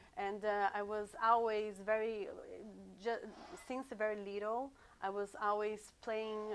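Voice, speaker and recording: A fairly high-pitched woman's voice in a Portuguese accent, fairly slow and monotone, with flat intonation and long, frequent pauses. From Brazil, rural countryside. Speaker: sound therapist. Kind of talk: interview. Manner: halting, many fillers and repeats.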